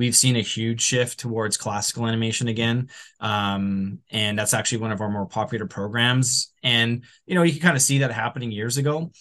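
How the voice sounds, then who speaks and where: Over a quiet background, a man with a normal speaking voice talks at a fairly quick pace, at medium pitch with ordinary pitch variation. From Canada, Edmonton. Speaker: animation school head. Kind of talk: casual chat.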